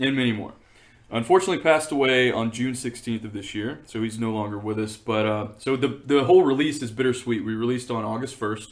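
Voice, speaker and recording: Speaking at a very fast pace, a man keeps a medium pitch. His pitch varies in an ordinary way. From East Texas. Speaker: documentary filmmaker. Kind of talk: casual interview.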